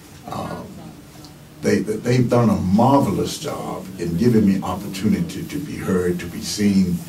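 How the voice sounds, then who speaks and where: A man's fairly low voice with lively intonation and big swings in loudness, at a fairly slow pace, amid audible room echo and noticeable background noise. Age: 70s. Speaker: retired pastor. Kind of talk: radio interview. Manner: halting, many fillers.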